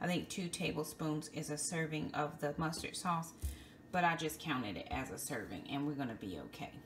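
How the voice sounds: Over faint background noise, a woman speaks at a moderate pace with a low pitch and ordinary pitch variation.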